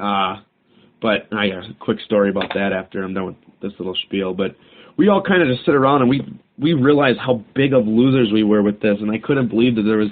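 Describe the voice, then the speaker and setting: A man speaks in a plain, everyday voice at a fairly quick pace, with a fairly low pitch and ordinary pitch variation. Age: 20s. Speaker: podcast host. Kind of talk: casual solo talk. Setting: home recording, alone. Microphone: cheap microphone recorded on a cell phone.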